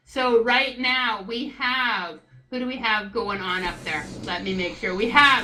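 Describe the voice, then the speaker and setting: A loud, high-pitched woman over noticeable background noise. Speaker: live event commentator. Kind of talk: live commentary. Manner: animated.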